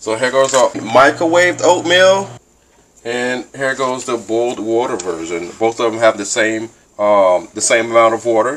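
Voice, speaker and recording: A man talks at a fairly quick pace with lively intonation. Light background noise can be heard. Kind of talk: casual vlog chat. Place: kitchen. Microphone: phone near.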